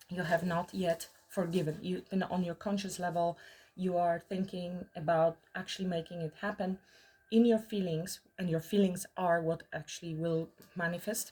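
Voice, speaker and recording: The woman's voice is fairly low in pitch, somewhat breathy, with a dark, mellow tone. Her intonation stays monotone and flat. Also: moderate pace. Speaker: tarot reader. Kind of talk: tarot reading monologue. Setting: in the mountains.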